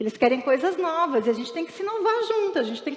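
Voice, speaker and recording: A woman's speech is heard with noticeable background noise. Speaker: pastor. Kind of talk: sermon. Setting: church. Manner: fast.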